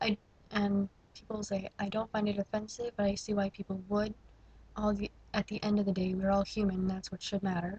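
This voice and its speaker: A somewhat breathy woman at a medium pitch, fairly quick in pace, monotone and flat in intonation, with a dry, close sound and no echo. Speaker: vlogger. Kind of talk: casual vlog monologue. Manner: halting.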